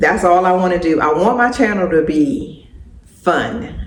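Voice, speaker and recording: A woman at a fairly low pitch and a very slow pace, with audible room echo. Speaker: lifestyle vlogger. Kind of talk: casual chat. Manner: halting.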